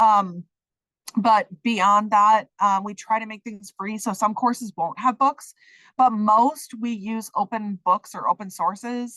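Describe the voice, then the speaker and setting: At a moderate pace, a woman speaks in an ordinary speaking voice of medium pitch, recorded dry and close with no echo. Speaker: social work program faculty. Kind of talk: online program orientation. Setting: video call.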